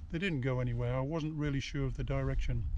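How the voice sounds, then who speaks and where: The sound is dry with no echo. Noticeable background noise runs underneath. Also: man. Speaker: retired motorcyclist. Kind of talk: casual talk to camera. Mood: relaxed, upbeat, reflective. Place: open country.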